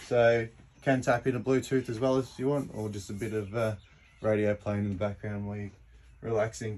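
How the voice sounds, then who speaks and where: Pitch shifts in an ordinary way as the words come at a moderate pace. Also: man. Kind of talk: casual walkthrough tour. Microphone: phone near.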